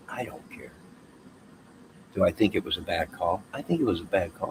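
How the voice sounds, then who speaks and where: Speaking with an American accent, a man keeps a moderate pace while his loudness swings widely. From Chicago. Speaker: YouTuber. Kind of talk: casual livestream monologue. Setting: outdoors.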